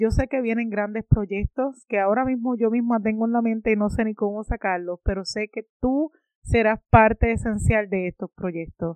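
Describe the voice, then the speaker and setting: Fairly high in pitch, a woman speaks in an ordinary speaking voice at a moderate pace, with fairly even intonation and hardly any pauses. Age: 30s. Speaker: podcast host. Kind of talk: motivational monologue.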